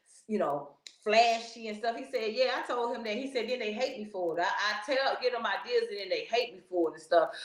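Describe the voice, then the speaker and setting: A woman with a fairly high pitch speaks at a fairly quick pace in an animated tone, with ordinary pitch variation and big swings in loudness. Audible room echo and noticeable background noise surround her voice. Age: 60s. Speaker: podcast host. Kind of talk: casual commentary.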